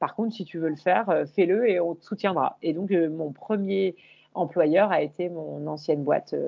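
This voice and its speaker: This is an unremarkable speaking voice with ordinary pitch variation at a moderate pace. Its loudness swings widely. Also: woman, fairly low pitch for a woman. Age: 40s. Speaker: YouTuber and image coach. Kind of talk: interview conversation.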